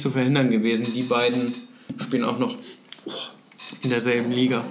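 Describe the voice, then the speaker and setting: A man's medium-pitched, monotone voice with flat intonation, noticeable background noise, and audible room echo. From Kiel, northern Germany. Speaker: podcast host. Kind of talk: casual chat.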